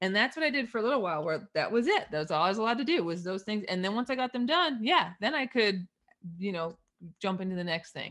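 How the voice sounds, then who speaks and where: Her pitch swinging very widely, a woman rattles along at a very fast pace. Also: medium pitch for a woman. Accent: slight Canadian. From Eastern Canada. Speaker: money mindset coach. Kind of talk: casual interview.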